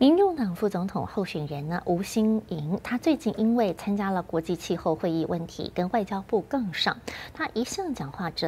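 Over light background noise, a woman talks at a moderate pace. Her intonation is lively and she hardly pauses. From Taiwan. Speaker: news anchor. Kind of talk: news reading. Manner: formal. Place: studio.

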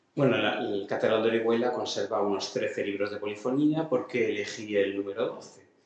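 There is audible room echo as a man talks at a moderate pace with fairly even intonation. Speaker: musicology lecturer. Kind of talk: lecture. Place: hall. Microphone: camera far.

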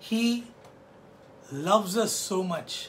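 A man speaks with ordinary pitch variation. Light background noise sits behind him. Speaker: pastor. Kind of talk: sermon. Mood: warm, earnest. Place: home room. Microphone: phone near.

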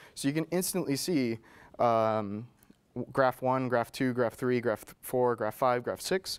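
A man at a fairly slow pace with ordinary pitch variation. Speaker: presenter at tech meetup. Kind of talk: presentation. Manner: halting. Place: meeting room. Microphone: lapel.

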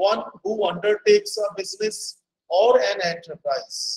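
A man with a high-pitched voice speaks at a fairly slow pace with fairly even intonation. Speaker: guest lecturer. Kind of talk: lecture. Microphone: video call.

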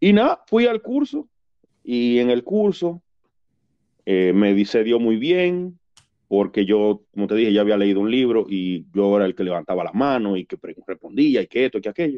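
Here a man talks at a moderate pace with a medium pitch and lively intonation. He has a plain, everyday voice. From Dominican Republic, Nagua. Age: 40s. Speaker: Red Cross rescue volunteer. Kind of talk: casual interview storytelling. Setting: studio.

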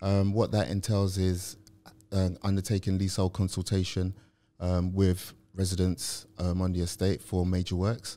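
A man speaks in a London accent with a very deep, low pitch. His tone is dark and mellow, and his pace is moderate. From South London. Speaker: property professional; podcast guest. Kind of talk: interview. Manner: hesitant, many fillers. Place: studio. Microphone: studio mic.

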